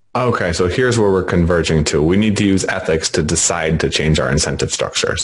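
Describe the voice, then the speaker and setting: A man talks at a very fast pace in a very deep, low voice. His loudness stays very even, his pitch varies in an ordinary way, and noticeable background noise is present. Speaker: podcast interviewer. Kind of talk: interview conversation.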